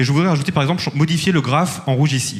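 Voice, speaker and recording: A somewhat breathy male voice at a very fast pace. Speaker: startup founder pitching. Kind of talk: startup pitch with demo and Q&A.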